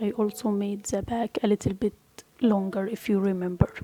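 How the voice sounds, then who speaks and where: A woman speaks in a non-native accent at medium pitch. The sound is dry and close with no echo, but noticeable background noise is present. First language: not English. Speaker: crochet tutorial creator. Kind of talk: tutorial.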